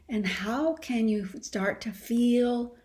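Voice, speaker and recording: A woman's fairly high, somewhat breathy voice with a dark, mellow tone and calm delivery, on a very clean recording against a silent background. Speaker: coherence practice teacher. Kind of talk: guided practice and teaching conversation. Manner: slowed, calm pace.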